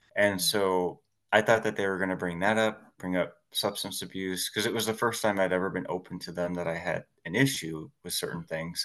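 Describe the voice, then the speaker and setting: A man with a very deep, low pitch, a fairly quick pace and fairly even intonation. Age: 40s. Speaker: historian, massage therapist and podcaster. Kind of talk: casual interview.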